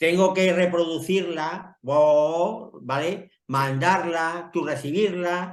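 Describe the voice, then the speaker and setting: Speaking at a very slow pace with hardly any pauses, a man uses a high pitch and fairly even intonation. He talks with an Extremaduran accent. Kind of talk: casual chat.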